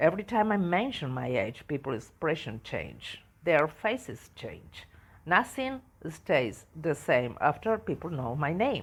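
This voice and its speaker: A woman speaks at a fairly slow pace with a very deep, low pitch and vocal fry. Her pitch swings very widely. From Argentina. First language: Spanish. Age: 60s. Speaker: travel podcaster. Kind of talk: personal storytelling podcast. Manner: halting, with hesitations.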